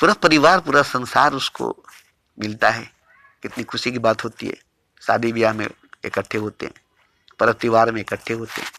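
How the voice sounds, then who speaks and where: A man at a medium pitch with ordinary pitch variation, big swings in loudness and long, frequent pauses, in a dry, close sound with no echo. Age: 60s. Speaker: spiritual teacher. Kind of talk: spiritual discourse. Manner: repetitive, emphatic.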